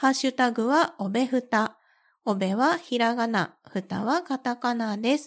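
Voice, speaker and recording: A woman's high-pitched voice at a fairly slow pace, ordinary pitch variation, very clean recording with a silent background. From Kansai, western Japan. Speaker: podcast host. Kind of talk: casual solo chat. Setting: recording at home. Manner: relaxed, laid-back.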